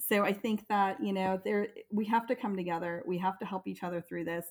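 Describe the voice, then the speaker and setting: Over a silent background on a very clean recording, a woman talks with an American accent. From US military family, raised largely in Florida. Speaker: parent. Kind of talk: casual interview.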